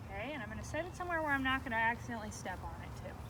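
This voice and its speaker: A woman speaks loudly. Her voice has audible room echo, and there is noticeable background noise. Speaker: beekeeper. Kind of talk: tutorial.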